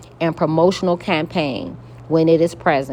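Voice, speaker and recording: A woman's very deep, low voice with vocal fry. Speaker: tarot card reader. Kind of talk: spiritual card reading. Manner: calm; matter-of-fact.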